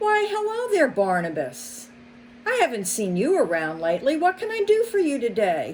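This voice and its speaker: A put-on character voice at a moderate pace, over clear background noise. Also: woman, high pitch for a woman. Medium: read story.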